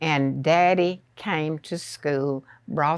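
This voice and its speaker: A woman with a Southern US accent speaks at a very slow pace with ordinary pitch variation. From rural Arkansas. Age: 90s. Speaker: retired teacher. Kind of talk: interview storytelling. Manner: hesitant, with fillers.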